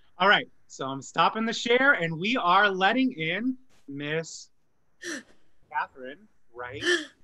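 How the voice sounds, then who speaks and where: Against a quiet background, a man with a high voice projects loudly in a bright, sharp tone. He talks at a very slow pace with very wide pitch swings and long, frequent pauses. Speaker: stage actor and show host. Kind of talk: casual chat. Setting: video call. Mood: cheerful, chatty. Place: home room. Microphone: video call.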